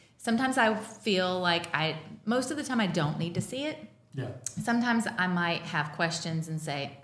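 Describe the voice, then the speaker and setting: A woman with a fairly low pitch speaks at a moderate pace. Her intonation is lively, over noticeable background noise. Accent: American. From North Carolina. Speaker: professional organizer. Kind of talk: casual chat.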